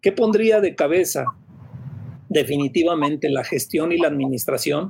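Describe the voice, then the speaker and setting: A somewhat breathy man at a moderate pace. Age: 40s. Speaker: surgeon and campus rector. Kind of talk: panel discussion. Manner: halting, frequent fillers.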